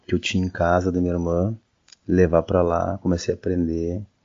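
Very deep, low male voice, flat and monotone throughout. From Porto Alegre, southern Brazil. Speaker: musician. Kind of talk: interview.

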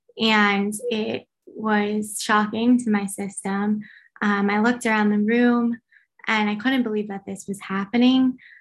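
A somewhat breathy woman's voice, fairly high in pitch, slow-ish in pace, with monotone, flat intonation. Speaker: graphic designer and campus antisemitism speaker. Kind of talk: interview. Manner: hesitant, many fillers.

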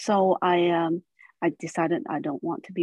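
A woman speaks at a medium pitch. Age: 40s. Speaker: spiritual storyteller. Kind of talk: personal testimony.

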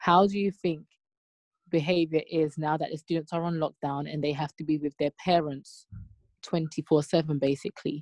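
Against a quiet background, a woman speaks at a moderate pace with a very deep, low pitch and fairly even intonation, the sound dry and close with no echo. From UK, Nigerian heritage. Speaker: teacher and podcast host. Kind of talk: casual discussion. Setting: video call.

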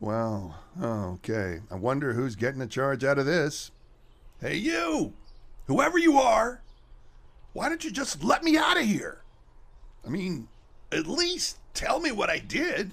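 A man's high-pitched voice at a fairly slow pace, with long, frequent pauses. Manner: defiant then panicked.

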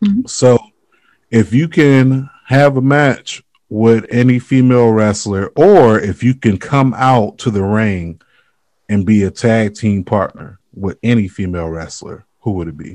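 Speaking with an American accent, a man keeps a fairly slow pace. His medium-pitched voice has lively intonation. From Florida, US. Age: 30s. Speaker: podcast host. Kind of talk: casual interview. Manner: animated.

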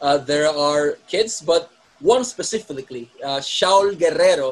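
A man with a Spanish accent speaks at a fairly slow pace. Noticeable background noise runs underneath. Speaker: wrestling podcast host. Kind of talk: interview.

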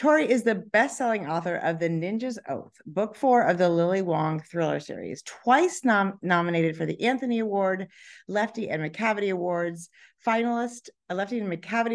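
A woman speaks at a medium pitch and a moderate pace, her intonation lively. The background is quiet. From California. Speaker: podcast host and author. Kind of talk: interview. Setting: hotel conference room.

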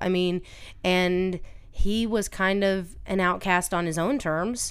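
Audible room echo surrounds a woman speaking at a medium pitch with ordinary pitch variation. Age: 30s. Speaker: host's older sister, mother of a teenager. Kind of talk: casual chat.

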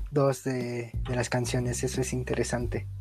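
A man with a Mexican accent at a fairly slow pace, with music in the background. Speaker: podcast co-host, student. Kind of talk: casual chat.

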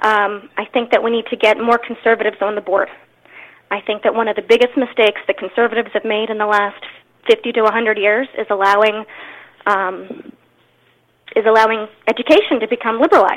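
At a fairly high pitch, a woman speaks in an ordinary speaking voice, quickly and with fairly even intonation. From Maryland, Anne Arundel County. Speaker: political candidate, stay-at-home mother. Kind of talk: interview.

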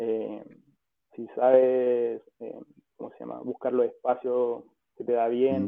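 With a Chilean accent, a man speaks very slowly, pausing long and often, his loudness swinging widely. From Chile, Rancagua. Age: 20s. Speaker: professional footballer. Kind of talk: casual interview.

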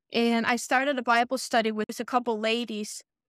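A fairly high-pitched woman at a moderate pace, with dry, close sound with no echo and a very clean recording, silent background. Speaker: widow sharing faith story. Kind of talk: testimony. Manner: halting.

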